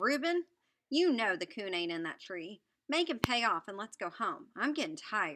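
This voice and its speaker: A woman does a whiny, put-on character voice at a fairly high pitch. Her pitch swings very widely at a moderate pace. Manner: whining.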